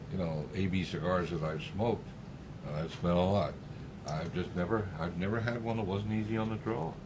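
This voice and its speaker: A man talks at a fairly quick pace in a very deep, low voice with ordinary pitch variation. Audible room echo and noticeable background noise are present. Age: 60s. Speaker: cigar show panelist. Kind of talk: casual chat.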